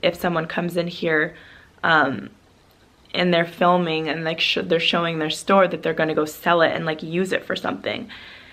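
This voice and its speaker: Her voice is fairly low-pitched for a woman, and she speaks with monotone, flat intonation. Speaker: travel vlogger. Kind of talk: casual storytelling vlog. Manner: hesitant, filler-heavy.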